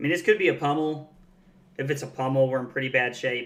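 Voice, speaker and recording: Speaking with a Southern US accent, a man uses a medium pitch and fairly even intonation. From US South. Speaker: card game streamer. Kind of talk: live gameplay commentary. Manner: casual, conversational.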